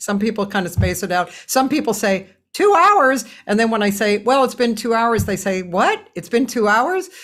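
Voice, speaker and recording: Speaking in a normal speaking voice, a woman uses a fairly high pitch and lively intonation at a moderate pace on a very clean recording with a silent background. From Boston. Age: 60s. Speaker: jazz singer and talk show host. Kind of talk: casual interview chat.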